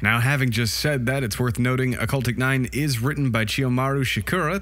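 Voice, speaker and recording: A man with a medium-pitched voice talks as noticeable background noise carries on behind him. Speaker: anime review video host. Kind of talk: casual, profane. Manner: fast talker.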